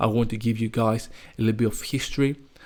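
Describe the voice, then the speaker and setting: A man speaks at a medium pitch with a non-native accent and a monotone, flat intonation. The recording is very clean, with a silent background. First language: not English. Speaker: crypto YouTuber. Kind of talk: unscripted market commentary. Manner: casual, unedited; occasional stuttering.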